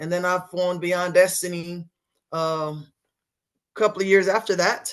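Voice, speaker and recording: A woman with a Texan accent and a fairly low pitch, against a quiet background. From West Texas, Sweetwater. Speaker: singer-songwriter and band leader. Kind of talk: interview.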